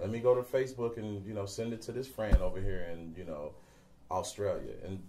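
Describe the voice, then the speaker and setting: A man's somewhat breathy voice with an American accent, medium in pitch, at a fairly quick pace, with ordinary pitch variation and big swings in loudness. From Cincinnati, Ohio, USA. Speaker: singer and entertainer. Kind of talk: interview answer.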